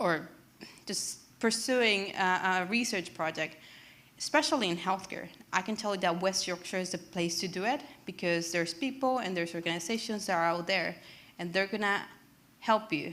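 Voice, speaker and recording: A woman's medium-pitched voice with ordinary pitch variation, at a moderate pace. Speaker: medtech startup founder. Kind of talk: presentation. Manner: halting, many repetitions.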